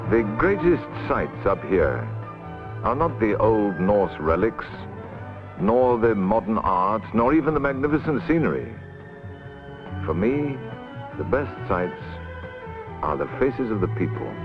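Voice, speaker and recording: A man at a fairly slow pace, with very wide pitch swings, long, frequent pauses and music in the background. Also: medium pitch for a man. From British. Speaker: actor. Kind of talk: documentary narration.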